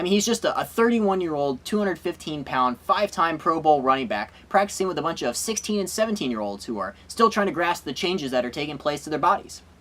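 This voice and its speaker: Noticeable background noise sits behind a man talking very fast with hardly any pauses. His pitch is high, with very wide swings. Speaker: sports comedy show host. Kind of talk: comedic sports monologue to camera. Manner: sarcastic, joking.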